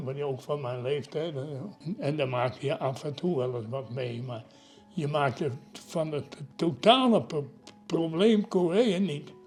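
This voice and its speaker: A man's fairly high voice moves at a fairly slow pace with lively intonation while music plays in the background. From Netherlands. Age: 90s. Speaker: war veteran. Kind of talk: interview. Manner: halting.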